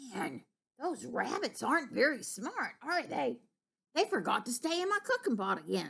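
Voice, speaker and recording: A woman puts on a high-pitched character voice at a moderate pace. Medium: read story.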